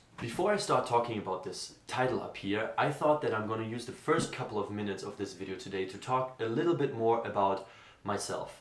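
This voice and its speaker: Speaking at a very fast pace with a German accent, this voice has ordinary pitch variation, and audible room echo surrounds it. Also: man, medium pitch for a man. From Germany, Essen. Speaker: vlogger, graduate student. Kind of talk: unscripted vlog monologue. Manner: spontaneous, with fillers.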